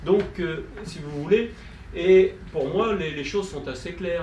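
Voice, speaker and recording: Fairly slow speech from a man, with noticeable background noise and audible room echo. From Brittany, France. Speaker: politician, conference panelist. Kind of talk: conference talk. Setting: conference with audience. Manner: hesitant, many fillers.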